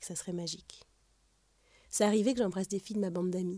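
Dark, mellow tone from a woman's medium-pitched voice, its intonation fairly even. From France. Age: 30s. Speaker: storyteller. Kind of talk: scripted narration.

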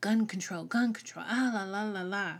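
In a very clean recording with a silent background, a woman with a Southern US accent speaks at a moderate pace with ordinary pitch variation. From US South. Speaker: podcast host. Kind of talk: solo podcast monologue. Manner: casual, rambling, halting.

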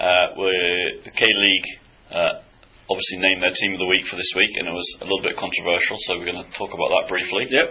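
Amid noticeable background noise, a man talks very fast with big swings in loudness. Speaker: podcast host. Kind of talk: casual banter about football.

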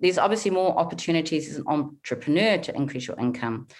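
A woman with a fairly low pitch talks at a very fast pace with lively intonation. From New Zealand, small town. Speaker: money coach. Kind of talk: interview.

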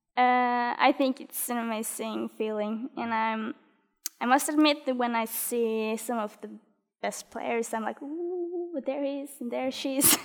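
Someone speaks at a fairly slow pace with a Norwegian accent. Pitch varies in an ordinary way, while loudness swings widely. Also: woman, high pitch for a woman. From Norway. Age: 20s. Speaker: badminton player. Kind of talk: interview. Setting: studio.

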